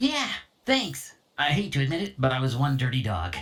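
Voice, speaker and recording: A put-on character voice, low-to-middle in pitch, at a moderate pace. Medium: video game. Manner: jokey, dog puns.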